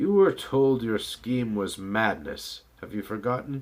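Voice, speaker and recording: A man puts on a character voice at medium pitch. His pace is fairly slow and his intonation lively. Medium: read story. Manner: curt, dismissive.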